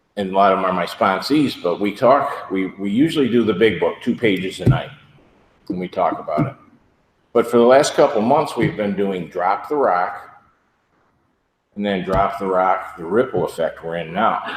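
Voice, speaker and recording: A man speaks in an ordinary speaking voice, pitched fairly low. His intonation is lively and his pace moderate. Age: 60s. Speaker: recovery meeting speaker. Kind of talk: testimony.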